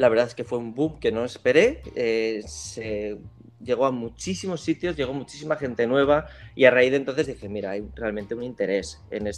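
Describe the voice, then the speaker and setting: A man with an ordinary speaking voice talks at a moderate pace, his medium pitch carried by lively intonation. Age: 30s. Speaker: fermented foods specialist. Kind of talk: interview.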